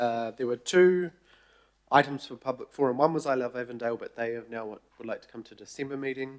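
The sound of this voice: Croaky and medium in pitch, a man's voice moves at a fairly quick pace. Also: ordinary pitch variation.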